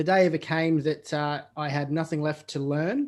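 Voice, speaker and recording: Over a quiet background, a man with a fairly high pitch speaks in an Australian accent. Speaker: podcast host. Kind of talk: podcast interview. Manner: hesitant, many fillers.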